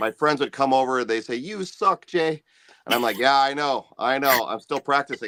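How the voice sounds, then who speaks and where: Fairly high male voice with a bright, sharp tone, ordinary pitch variation, moderate pace and a dry, close sound with no echo. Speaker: singer-songwriter and musician. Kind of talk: casual interview chat. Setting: live video stream.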